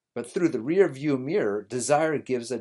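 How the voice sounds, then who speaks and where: A man speaks in an ordinary speaking voice at a medium pitch, with lively intonation and a moderate pace. The background is quiet. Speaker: rabbi and podcast host. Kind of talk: scripted-style educational podcast monologue. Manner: earnest, conversational, explanatory.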